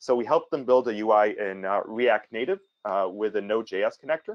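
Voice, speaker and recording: Lively intonation marks this man's medium-pitched voice. The background is quiet. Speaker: webinar presenter for a database company. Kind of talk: webinar presentation. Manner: fast; hesitant with many fillers.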